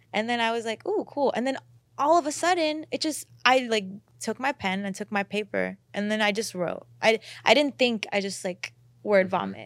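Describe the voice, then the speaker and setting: A woman speaks at a moderate pace with lively intonation. Hers is an unremarkable speaking voice. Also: fairly high pitch for a woman. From Houston, Texas (born in India). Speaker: R&B singer. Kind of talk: casual interview. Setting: studio.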